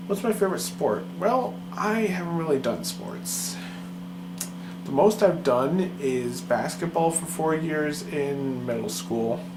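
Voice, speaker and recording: Soft-spoken speech at a very slow pace amid noticeable background noise. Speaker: vlogger. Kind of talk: casual chat. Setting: recording to camera.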